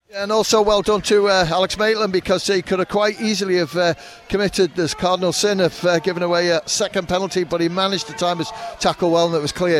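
Through noticeable background noise, a high-pitched man talks at a very fast pace with fairly even intonation. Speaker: co-commentator and match analyst. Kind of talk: live co-commentary, reacting to play. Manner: relaxed, conversational with filler 'uh'; measured and explanatory.

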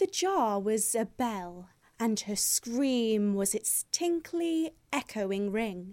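A natural reading voice delivers the text with lively intonation.

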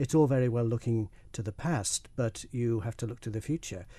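A man speaks with a Manx accent in a dark, mellow tone that is somewhat breathy. His pitch variation is ordinary. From Isle of Man. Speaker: filmmaker and broadcaster. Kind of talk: radio interview.

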